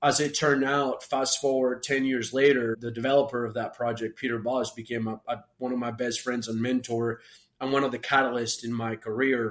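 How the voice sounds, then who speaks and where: With a Spanish accent, a medium-pitched man talks at a fairly quick pace with hardly any pauses. His intonation stays flat and monotone. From Colombia, grew up partly in Florida. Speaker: entrepreneur. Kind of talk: interview storytelling. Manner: halting, many repetitions.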